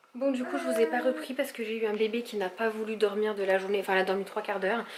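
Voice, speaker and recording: A woman speaks at a very fast pace with a fairly high pitch and fairly even intonation. Noticeable background noise sits behind her. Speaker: vlogger, young mother. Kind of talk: casual vlog. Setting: at home.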